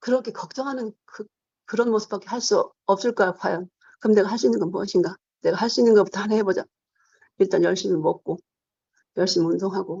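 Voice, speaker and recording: A woman talks at a very fast pace with medium pitch and ordinary pitch variation. Her pauses are long and frequent. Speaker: Parkinson's patient giving a testimonial. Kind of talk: testimony. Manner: halting.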